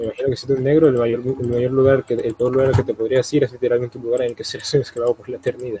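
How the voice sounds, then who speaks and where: A man speaks very fast, with hardly any pauses, in a monotone, flat voice of medium pitch. The sound is dry and close with no echo, though there is noticeable background noise. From Colombia. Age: young. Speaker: youtuber. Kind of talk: casual chat.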